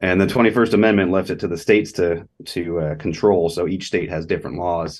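A man with a Californian accent speaks at a very deep, low pitch. His pace is fairly quick, his intonation fairly even, and he hardly pauses. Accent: General American (Californian). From Southern California, Los Angeles. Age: 40s. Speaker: law professor. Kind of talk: casual interview.

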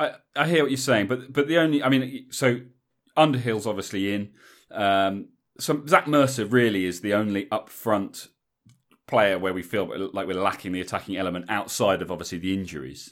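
A man with an English accent talks with lively intonation in a fairly low pitch. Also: moderate pace, very clean recording, silent background. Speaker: rugby podcast host. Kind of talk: casual chat. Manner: casual, chatty with fillers.

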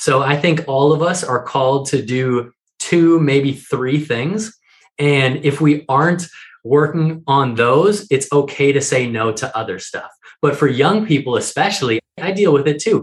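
A man with a fairly high pitch and ordinary pitch variation talks somewhat breathily at a fairly slow pace. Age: 30s. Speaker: author and entrepreneur. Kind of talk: interview.

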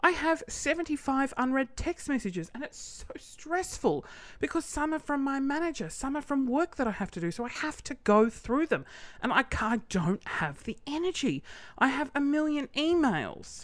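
Speaking at a moderate pace with an Australian accent, a woman uses a high pitch and lively intonation. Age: 30s. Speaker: podcast host and small business owner. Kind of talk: casual monologue rant. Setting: home studio with microphone. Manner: animated, laughing often.

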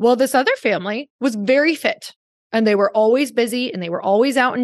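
Against a quiet background, a woman with an American accent speaks at a fairly quick pace in an animated tone and a fairly high pitch. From Upper Michigan, US. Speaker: podcast host and entrepreneur. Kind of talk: interview conversation.

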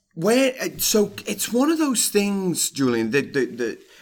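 A man with a Scouse accent speaks with lively intonation. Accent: Scouse (Liverpool) English. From Liverpool, England. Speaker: author and speaker on workplace culture. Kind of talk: interview.

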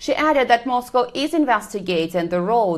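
A woman with an ordinary speaking voice talks at a moderate speed, her intonation lively. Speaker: Moscow correspondent. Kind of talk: newsreading. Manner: formal, even, brisk.

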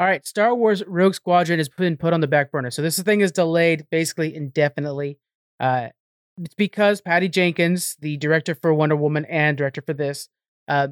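A man with a fairly high pitch talks at a fairly quick pace in a plain, everyday voice, with ordinary pitch variation. The sound is dry and close, with no echo. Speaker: podcast host. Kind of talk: casual chat about games and movies. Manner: casual, conversational.

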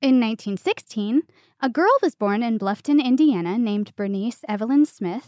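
A woman with a plain, everyday voice speaks at a moderate pace, fairly high in pitch with lively intonation, on a very clean recording with a silent background. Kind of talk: mock carnival barker spiel in a casual chat.

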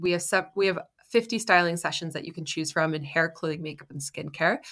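A woman with an unremarkable speaking voice, fairly low pitched, talks in a fairly even intonation over a very clean recording with a silent background. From Canada. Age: 30s. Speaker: entrepreneur, founder of a styling business. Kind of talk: interview conversation.

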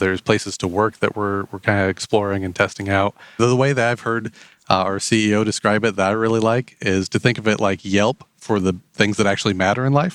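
In a dry, close recording with no echo, a man with a Midwestern US accent talks at a fairly quick pace with a fairly low pitch and fairly even intonation. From Indiana, rural US Midwest. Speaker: enrollment marketing specialist. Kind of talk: interview.

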